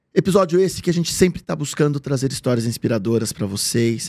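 A man speaks at a fairly quick pace with a medium pitch, ordinary pitch variation, and a dark, mellow tone. The recording is very clean, with a silent background. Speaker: podcast host. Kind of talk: casual interview. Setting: studio.

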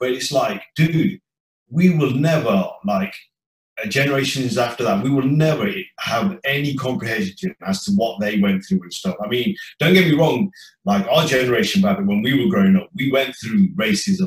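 Very wide pitch swings mark this somewhat breathy voice. The speaker has an East Midlands accent. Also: man, fairly high pitch for a man, moderate pace. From English Midlands, Leicester. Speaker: chef and former DJ. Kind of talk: casual chat.

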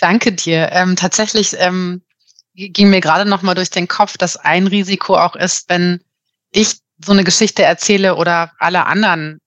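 Against a quiet background, a woman speaks at a moderate pace and medium pitch in a monotone, flat way, the sound dry and close with no echo. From Germany, Marburg (Hesse). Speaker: organisational consultant and coach. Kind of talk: casual interview. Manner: hesitant, many filler sounds.

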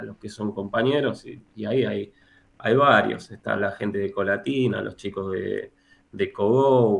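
The speaker talks at a fairly slow pace with a Rioplatense accent. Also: man. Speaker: economist and university lecturer. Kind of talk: interview.

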